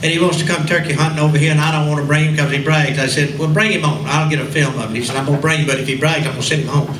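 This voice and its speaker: In a Southern US accent, the speaker rushes along very fast with hardly any pauses, amid audible room echo and noticeable background noise. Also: man, fairly high pitch for a man. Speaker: radio host and entertainer. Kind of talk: storytelling speech to a class reunion audience. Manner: animated.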